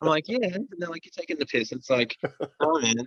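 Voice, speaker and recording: A man with an Australian accent talks at a very fast pace in a high voice with very wide pitch swings. The sound is dry and close with no echo. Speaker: rock band musician. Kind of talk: casual interview chat. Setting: video call. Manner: relaxed, casual.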